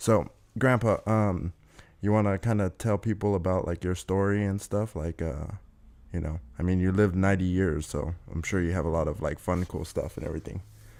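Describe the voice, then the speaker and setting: Very deep, low male voice at a fairly quick pace, with fairly even intonation. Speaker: podcast host. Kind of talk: casual podcast conversation.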